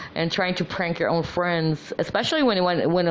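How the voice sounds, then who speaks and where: Ordinary pitch variation runs through this woman's speech. She has an American accent. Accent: American-sounding. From Philippines. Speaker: vlogger, former call center agent. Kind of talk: casual monologue. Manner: halting, many fillers.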